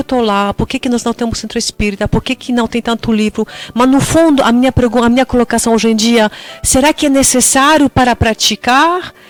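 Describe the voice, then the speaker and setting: A woman's high-pitched voice with a Polish accent, at a fairly quick pace with fairly even intonation and very even loudness, in a dry, close sound with no echo and noticeable background noise. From Poland. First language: Polish (speaking Portuguese). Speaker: tour guide, interview guest. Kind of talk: radio interview.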